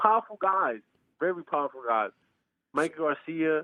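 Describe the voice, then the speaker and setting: A man is speaking at a fairly high pitch. His pitch varies in an ordinary way. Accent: New York. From New York, Bronx. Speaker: professional boxer. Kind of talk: interview. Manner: halting, repeats words.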